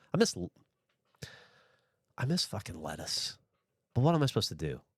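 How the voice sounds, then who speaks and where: In a very clean recording with a silent background, a man talks at a very fast pace with a slight Southern US accent. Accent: slight Southern twang. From US South. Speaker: streamer. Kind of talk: casual chat. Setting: livestream.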